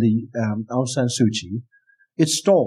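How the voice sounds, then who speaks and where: A man with a Burmese accent at a fairly slow pace, in a quiet background. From Burma. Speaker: academic and human rights activist. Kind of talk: live interview. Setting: stage with audience.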